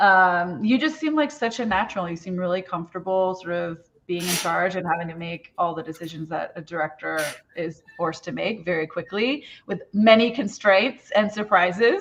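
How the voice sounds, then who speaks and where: Here is a woman with a normal speaking voice, medium in pitch. Her intonation is lively and her pace moderate. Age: middle-aged. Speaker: assistant director. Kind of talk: casual chat.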